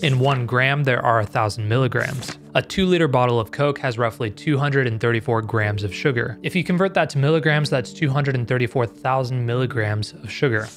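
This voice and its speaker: With light background noise, a man speaks at a moderate pace with ordinary pitch variation and hardly any pauses. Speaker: health explainer host. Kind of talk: explainer narration. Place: home room. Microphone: studio mic.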